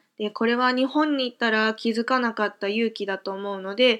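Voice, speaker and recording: The background is quiet as a woman speaks at a moderate pace. Her pitch varies in an ordinary way. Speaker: podcaster. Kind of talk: casual monologue. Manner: filler-heavy, with frequent hesitations.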